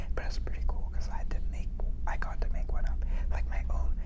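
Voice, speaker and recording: Whispering at a fairly quick pace, a man speaks against noticeable background noise. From South India. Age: 20s. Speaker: therapy student. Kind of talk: ASMR study hangout talk to camera. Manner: whispered; casual, upbeat.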